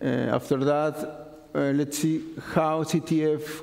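A man with a non-native accent speaks fairly slowly in a flat monotone, his pitch fairly high for a man. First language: not English. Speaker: conference speaker. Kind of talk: technical conference talk. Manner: halting. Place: classroom.

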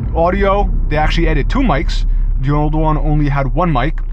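A man talks at a moderate pace. Light background noise is present, and the sound is dry with no echo. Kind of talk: casual vlog chat. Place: car. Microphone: phone near.

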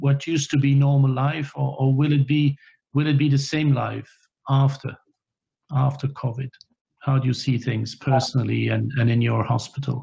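A man's somewhat breathy, dark, mellow voice, monotone and flat, at very even loudness over a quiet background. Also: moderate pace. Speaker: webinar moderator. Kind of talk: panel discussion moderation. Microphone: headset.

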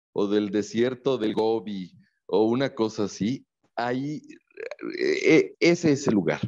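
A man's dark, mellow tone at a very slow pace against a quiet background. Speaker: interview guest. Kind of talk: interview answer, storytelling. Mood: enthusiastic, evocative description. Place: home room. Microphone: earbuds.

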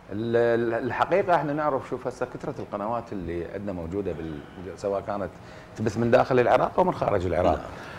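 Medium-pitched male speech at a fairly quick pace, full of very wide pitch swings, over light background noise. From Iraq. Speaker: actor. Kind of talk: TV panel discussion. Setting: studio. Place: studio. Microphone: lapel.

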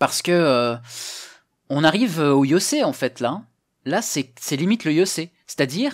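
A man at a fairly slow pace with long, frequent pauses, over a quiet background. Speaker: Go teacher and streamer; Go teacher, streamer. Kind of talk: live stream game commentary, workshop. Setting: live stream with chat. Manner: casual, hesitant, friendly. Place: home room. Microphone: headset.

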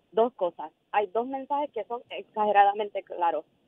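This woman has an unremarkable speaking voice at a fairly high pitch. Her pace is moderate and her pitch variation ordinary. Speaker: government cabinet secretary. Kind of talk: radio interview. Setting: phone call.

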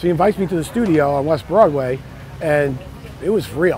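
Someone with an American accent speaks at a fairly quick pace, the sound dry with no echo and crowd noise in the background. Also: man. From New York. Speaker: surf photographer. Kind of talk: interview answer. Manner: slight edge, attitude. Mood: nostalgic, enthusiastic storytelling. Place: street. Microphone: lapel.

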